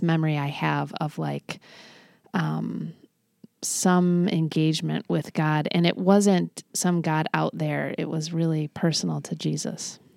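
The recording is very clean, with a silent background and a dry, close sound with no echo. A woman speaks at a fairly slow pace. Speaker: pastor and devotional author. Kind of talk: casual chat. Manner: gentle.

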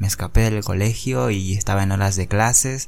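A man with a plain, everyday voice speaks at a moderate pace, fairly low in pitch with ordinary pitch variation. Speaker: podcaster. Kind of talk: personal storytelling.

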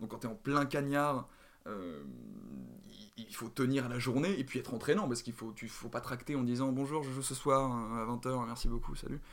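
Here is a man with a normal speaking voice at a medium pitch. He keeps a moderate pace and ordinary pitch variation. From Paris, France. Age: 20s. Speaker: drama student and actor. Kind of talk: casual interview.

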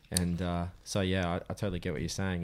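A man with an Australian accent speaks very fast in a very deep, low, monotone voice with flat intonation, on a very clean recording with a silent background. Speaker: podcast host. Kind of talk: casual interview chat.

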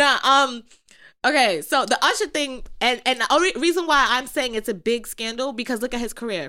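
A woman speaks in a high-pitched, raised and projected voice. Her intonation is lively and her pace moderate. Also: very clean recording, silent background. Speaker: podcast host. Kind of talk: casual chat. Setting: live stream recording.

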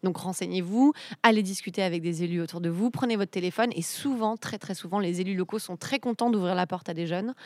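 A woman with a plain, everyday voice and a fairly low pitch speaks at a fairly quick pace, with a dry, close sound with no echo, on a very clean recording with a silent background. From eastern France, Ain. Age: 30s. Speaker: civic organizer. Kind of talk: interview.

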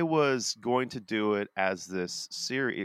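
On a very clean recording with a silent background, a man talks at a very slow pace with lively intonation and a bright, sharp tone. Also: dry, close sound with no echo. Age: 40s. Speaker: pastor and podcast co-host. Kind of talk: casual chat. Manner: animated.

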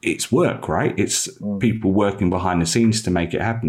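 In a London accent, a man talks at a very fast pace with a fairly low pitch and ordinary pitch variation. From East London, England. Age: 30s. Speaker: magazine editor and football coach. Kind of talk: casual interview chat.

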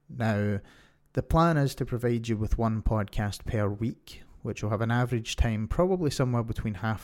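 A man of medium pitch with a Scottish accent speaks at a moderate pace on a very clean recording with a silent background. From Scotland. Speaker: podcast host. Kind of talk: solo podcast monologue.

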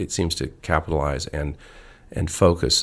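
At a moderate pace, a man with an American accent speaks in a very deep, low, somewhat breathy voice. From Arizona. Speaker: sculptor. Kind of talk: interview. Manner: halting.

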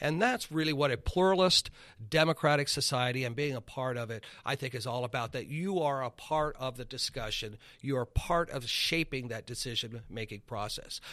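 A man with a medium pitch and a bright, sharp tone speaks at a moderate pace with ordinary pitch variation. The recording is very clean, with a silent background. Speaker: high school government teacher. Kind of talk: interview. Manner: gets louder when excited.

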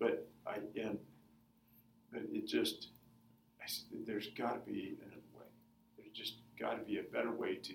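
A man talks at a moderate pace, with big swings in loudness and long, frequent pauses. Audible room echo surrounds his voice. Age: 50s. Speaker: food company founder and runner. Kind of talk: interview.

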